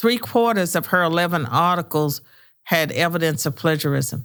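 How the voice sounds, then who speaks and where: On a very clean recording with a silent background, a woman with an American accent and a fairly low pitch speaks at a moderate pace with lively intonation. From US South, rural southwestern Virginia. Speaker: retired professor and author. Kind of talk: podcast interview. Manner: hesitant, many fillers.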